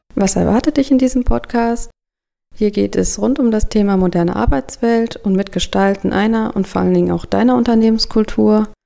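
A woman speaks at a fairly quick pace, her loudness very even throughout. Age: 30s. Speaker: podcast host and project manager. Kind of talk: scripted podcast intro.

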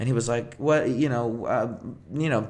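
The speaker is a man with a plain, everyday voice. He keeps a moderate pace and ordinary pitch variation. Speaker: podcast host. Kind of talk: casual chat. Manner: casual, joking.

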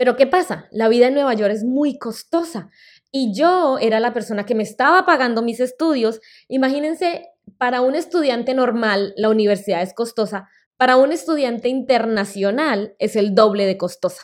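A woman talks at a moderate pace with lively intonation and a high pitch, on a very clean recording with a silent background. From Colombia. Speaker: podcast host and healthy-recipe creator. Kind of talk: personal storytelling monologue.

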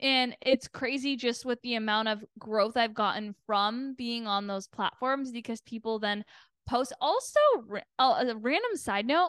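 A woman with a Canadian accent and an ordinary speaking voice, fairly high in pitch and fairly slow, dry and close with no echo, over a quiet background. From Canada, Toronto. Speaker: PR agency owner and podcaster. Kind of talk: casual interview chat.

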